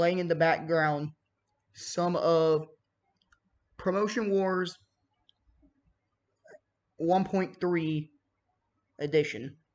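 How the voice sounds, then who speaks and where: Long pauses come often as the delivery crawls along at a very slow pace. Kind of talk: casual talk to camera. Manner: occasional stutter.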